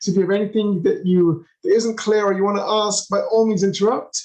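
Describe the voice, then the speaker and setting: A man with an English accent talks at a very fast pace. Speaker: tour guide. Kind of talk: virtual tour. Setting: video call. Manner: animated.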